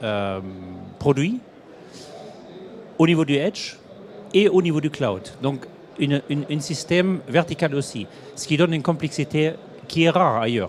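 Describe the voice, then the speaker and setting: Long, frequent pauses break up a man's speech in a German accent. His fairly high voice has lively intonation. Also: fairly slow pace. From Germany. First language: German (speaking French). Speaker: industry executive. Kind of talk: interview. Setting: trade show studio set. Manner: halting.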